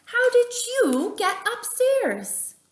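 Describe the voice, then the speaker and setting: Using a squeaky put-on character voice, a woman speaks at an extremely high pitch with lively intonation. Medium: read story.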